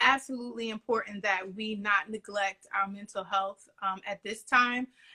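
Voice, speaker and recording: A woman with a New York accent, fairly high-pitched, with fairly even intonation at a moderate pace, in a dry, close sound with no echo. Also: big swings in loudness. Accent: Bronx, New York. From New York City, the Bronx. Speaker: podcaster on mental health. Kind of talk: casual interview chat.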